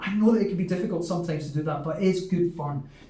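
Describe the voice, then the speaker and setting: A man with a Glaswegian accent at a very fast pace, amid noticeable background noise. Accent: light West of Scotland (Glaswegian). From Scotland, Glasgow. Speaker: English teacher. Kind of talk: lesson for children.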